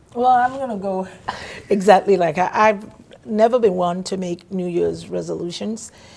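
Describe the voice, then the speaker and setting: A woman talks at a moderate pace with a medium pitch and ordinary pitch variation. Noticeable background noise runs underneath. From Nigeria. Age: 60s. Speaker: panel guest. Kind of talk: casual chat.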